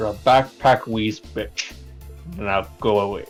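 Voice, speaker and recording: With faint music in the background, a man puts on a character voice, speaking at a fairly low pitch and fairly slow pace. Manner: dismissive, stern.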